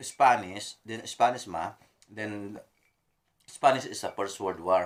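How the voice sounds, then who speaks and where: In a very clean recording with a silent background, a speaker with a Filipino accent talks at a very slow pace, with ordinary pitch variation and big swings in loudness. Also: man, fairly low pitch for a man. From Philippines. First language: Filipino regional language. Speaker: mechanic. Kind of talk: casual chat. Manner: halting.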